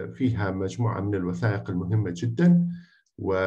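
A man speaks in a somewhat breathy voice. The background is quiet. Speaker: university history professor and presenter. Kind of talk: webinar presentation with screen share. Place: home room. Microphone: earbuds.

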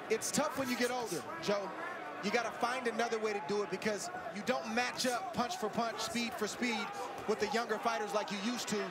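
Over loud background noise, a man speaks at a fairly quick pace with ordinary pitch variation in a dry sound with no echo. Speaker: boxing color commentator. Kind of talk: commentary.

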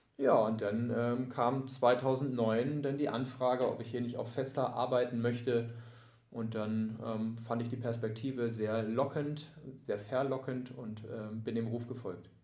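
A man talks at a fairly slow pace in a medium pitch, with monotone, flat intonation. Audible room echo and noticeable background noise surround him. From near Hamburg, Lower Saxony, Germany. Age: 30s. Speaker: sports club volunteer service manager. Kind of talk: casual interview.

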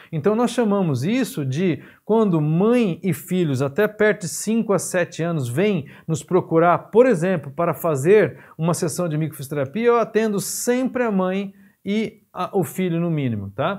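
A man speaks at a fairly slow pace against a quiet background. His high voice has lively intonation. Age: 50s. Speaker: physiotherapy teacher. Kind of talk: lecture. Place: studio.

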